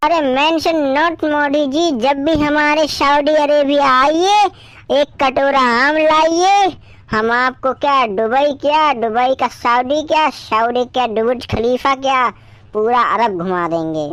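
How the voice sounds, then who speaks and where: Using a cartoonish character voice, a woman speaks at a high pitch, very slowly, with lively intonation. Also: very even loudness. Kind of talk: cartoon comedy. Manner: haggling, comic broken grammar.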